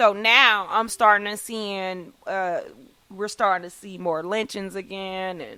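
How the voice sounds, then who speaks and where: A woman speaks at a fairly slow pace in a bright, sharp tone with fairly even intonation and big swings in loudness. The recording is very clean, with a silent background. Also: medium pitch for a woman. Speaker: podcast host. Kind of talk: casual chat.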